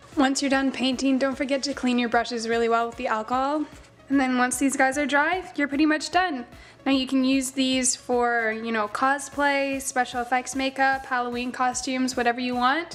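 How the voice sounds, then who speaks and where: With music in the background, a woman speaks at a moderate pace in a high pitch, her intonation fairly even. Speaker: makeup artist. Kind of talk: casual tutorial talk to camera.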